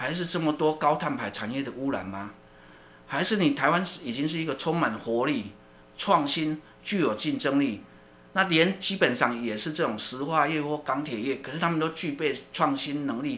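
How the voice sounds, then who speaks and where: At a moderate pace, a man speaks in a bright, sharp, fairly high voice with lively intonation. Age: 50s. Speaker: university research center director, sociologist. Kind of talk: interview. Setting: studio. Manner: hesitant, many fillers and repetitions.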